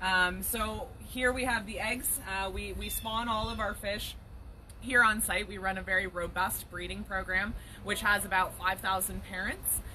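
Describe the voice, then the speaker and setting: Someone with a Canadian accent speaks at a fairly slow pace amid noticeable background noise. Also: woman. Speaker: trout farmer. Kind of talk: casual live video tour. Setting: outdoors on a farm.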